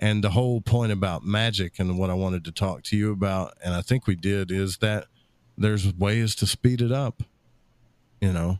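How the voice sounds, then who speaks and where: The voice moves at a moderate pace with fairly even intonation. The recording is very clean, with a silent background and a dry, close sound with no echo. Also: man, fairly low pitch for a man. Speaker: radio host and esoteric enthusiast. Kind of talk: casual conversational interview.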